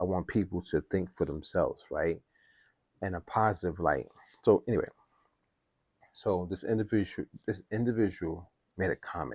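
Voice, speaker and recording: A quiet man with a very deep, low pitch, ordinary pitch variation and a moderate pace, long, frequent pauses, and a dry, close sound with no echo. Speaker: music production youtuber. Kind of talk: casual vlog talk. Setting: at home. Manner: quiet, holding voice down.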